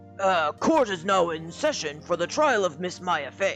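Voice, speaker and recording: Lively intonation in a put-on character voice at a moderate pace, with clear music in the background. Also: man, high pitch for a man. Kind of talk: formal courtroom speech. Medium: game stream.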